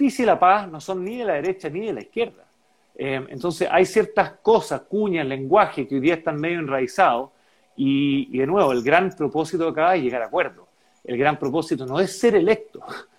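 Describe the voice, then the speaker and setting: The speaker has a Chilean accent and lively intonation. The pace is moderate. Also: man, high pitch for a man. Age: 40s. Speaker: political candidate. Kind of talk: interview. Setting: video call.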